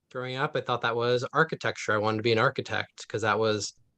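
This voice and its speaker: Recorded dry and close with no echo over a quiet background, a man with an American accent speaks at a medium pitch in a bright, sharp tone with fairly even intonation. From US West Coast, East Palo Alto, California. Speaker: urban forestry manager and arborist. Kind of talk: panel talk. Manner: casual, many fillers.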